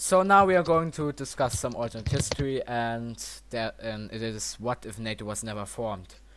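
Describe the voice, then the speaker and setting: A man speaks at a moderate pace with a German accent. His intonation is lively, and his loudness swings widely. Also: medium pitch for a man. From Germany. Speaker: podcast host. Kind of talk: casual panel discussion. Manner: halting.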